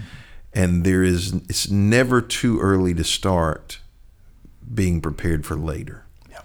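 In an eastern North Carolina accent, a man speaks at a fairly slow pace with a very deep, low pitch. His loudness swings widely, and the recording is very clean with a silent background. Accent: US Southern (eastern North Carolina). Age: 50s. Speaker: pastor. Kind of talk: interview conversation.

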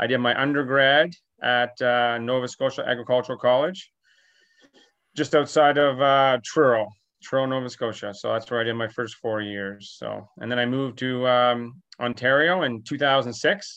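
A plain, everyday voice from a man, medium in pitch with fairly even intonation. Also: moderate pace. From New Brunswick, Canada. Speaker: veterinarian and dairy farmer. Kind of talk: interview.

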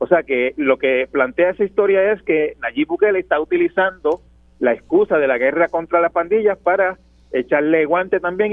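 The man's voice sits at a high pitch. He talks at a fairly quick pace with lively intonation. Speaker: journalist and columnist. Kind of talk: radio interview.

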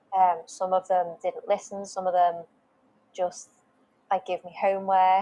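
A woman with a British accent speaks at a medium pitch, her dark, mellow tone held in a flat monotone. Her loudness swings widely, and she talks at a fairly slow pace with long, frequent pauses. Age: 20s. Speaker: wellness page creator sharing mental health story. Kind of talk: personal testimony in interview. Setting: video call.

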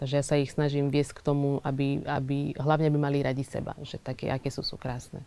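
With a Portuguese accent, the speaker moves at a fairly quick pace with hardly any pauses, in a dark, mellow tone and monotone, flat intonation. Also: woman, very deep, low pitch for a woman. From Angola. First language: Portuguese (speaking Slovak). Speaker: actress. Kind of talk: interview. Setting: studio.

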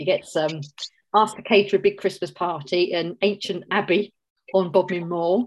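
In a Cockney accent, a woman speaks at a medium pitch. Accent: London Cockney English. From South London, England. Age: 50s. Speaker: novelist. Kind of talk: casual interview chat.

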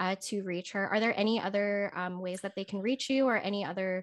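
A woman with an American accent speaks at a medium pitch with fairly even intonation against a quiet background. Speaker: podcast host and personal stylist. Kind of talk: casual interview chat.

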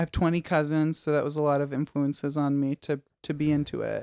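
In a Midwestern American accent, a man with a fairly high pitch speaks at a very fast pace, recorded dry and close with no echo on a very clean, silent background. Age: 20s. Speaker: stand-up comedian. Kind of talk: casual chat.

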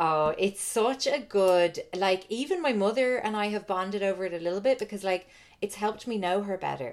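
In a very clean recording with a silent background, a woman with an Irish accent speaks at a fairly quick pace, her medium pitch showing ordinary pitch variation. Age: 30s. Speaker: author and podcaster. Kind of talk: casual chat.

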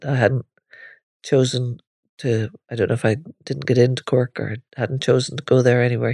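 A woman's very deep, low voice with a Northern Irish accent, dark and mellow in tone, monotone and flat, at a moderate pace with long, frequent pauses, over a quiet background. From Northern Ireland. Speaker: podcaster. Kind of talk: personal memoir monologue.

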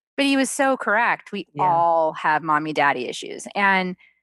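A woman talks with very wide pitch swings. The background is quiet. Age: 50s. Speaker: author and spiritual guide. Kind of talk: interview.

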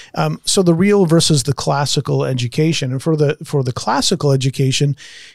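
In a dry, close recording with no echo, a man with a medium pitch and a somewhat breathy voice speaks at a moderate pace with ordinary pitch variation. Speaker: podcast host. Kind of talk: casual discussion of a book.

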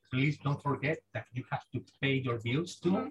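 A man with a Spanish accent speaks at a moderate pace in a medium pitch, his intonation fairly even. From Spain. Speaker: software engineer, mission commander. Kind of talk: casual chat. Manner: halting.

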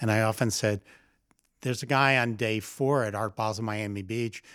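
A man's plain, everyday voice at medium pitch, fairly even in intonation and moderate in pace, on a very clean recording with a silent background. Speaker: podcast host and art advisor. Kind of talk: casual interview conversation.

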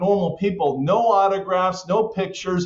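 Speaking loudly at a moderate pace, a man with a high pitch talks with an American accent. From Southern California. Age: 60s. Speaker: author. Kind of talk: interview.

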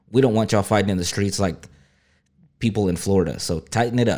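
A man with a Texan accent talks very fast in a dark, mellow tone at fairly low pitch. Pitch variation is ordinary, and the recording is very clean with a silent background. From South Texas. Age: 30s. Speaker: news podcast host. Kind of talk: casual news reading.

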